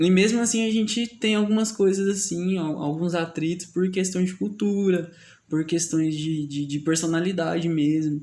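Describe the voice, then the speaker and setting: With a Goiás accent, the speaker has a dark, mellow tone, a moderate pace and ordinary pitch variation. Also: man, high pitch for a man. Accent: Goiás accent with strong retroflex R. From Goiás, Brazil. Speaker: podcast host. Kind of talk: casual chat. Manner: halting, many fillers.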